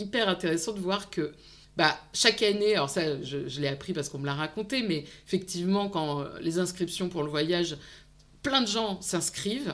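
In a very clean recording with a silent background, a woman talks at a moderate pace in an unremarkable speaking voice of medium pitch with lively intonation. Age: 40s. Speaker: psychologist and psychoanalyst, online video creator. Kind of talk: interview about personal career.

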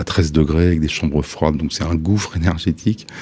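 A man talks at a fairly quick pace in a very deep, low pitch, with ordinary pitch variation. Noticeable background noise runs under his voice. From Le Havre, Normandy, France. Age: 60s. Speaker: architect. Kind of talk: interview. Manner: halting.

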